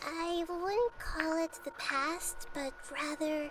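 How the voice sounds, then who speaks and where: A female-sounding put-on character voice speaks at an extremely high pitch and a very slow pace. Clear background noise is present. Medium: video game. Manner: gentle, measured.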